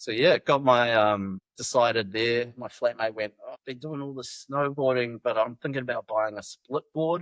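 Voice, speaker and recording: A man with a New Zealand accent speaks at a moderate pace in a medium pitch, with ordinary pitch variation and big swings in loudness. The sound is dry and close, with no echo. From New Zealand, Wellington. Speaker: backcountry guide. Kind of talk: podcast interview, casual chat. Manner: casual, halting with fillers.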